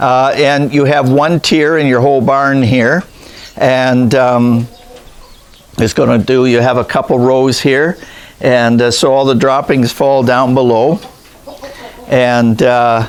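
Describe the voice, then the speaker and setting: A man speaks at a very slow pace, his pitch medium and his loudness very even. His intonation is fairly even, with long, frequent pauses and noticeable background noise. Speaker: rabbit breeder, channel host. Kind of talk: casual interview questions on farm tour.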